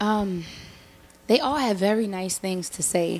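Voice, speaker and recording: Noticeable noise fills the background. The voice carries an American accent. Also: woman. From Minnesota, US. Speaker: singer-songwriter. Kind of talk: interview. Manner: casual, animated.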